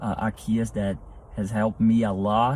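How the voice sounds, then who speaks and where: In a Portuguese accent, a man with a fairly low pitch and a dark, mellow tone speaks at a fairly slow pace. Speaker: entrepreneur. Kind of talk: interview. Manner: halting.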